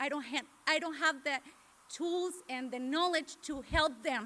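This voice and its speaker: A woman projects her voice loudly in a Mexican accent. Her tone is bright and sharp, and her pitch is high. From Mexico. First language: Spanish. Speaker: parent speaker. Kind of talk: personal testimony. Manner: halting.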